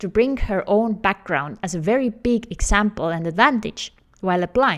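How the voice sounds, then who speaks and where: A woman's fairly high voice in an Estonian accent, with lively intonation at a moderate pace on a very clean recording with a silent background. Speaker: career coach. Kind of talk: tutorial.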